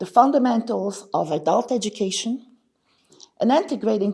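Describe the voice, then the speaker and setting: A woman with a Quebec accent, a dark, mellow tone, vocal fry, very wide pitch swings and a fairly quick pace. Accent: Canadian French-accented English. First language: French. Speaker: conference speaker, language education researcher. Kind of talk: conference presentation.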